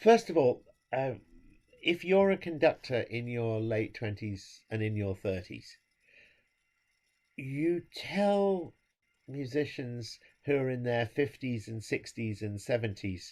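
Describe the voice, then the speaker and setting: On a very clean recording with a silent background, a man with an English accent speaks very slowly with lively intonation and long, frequent pauses. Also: medium pitch for a man. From England. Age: 70s. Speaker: conductor. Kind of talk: interview.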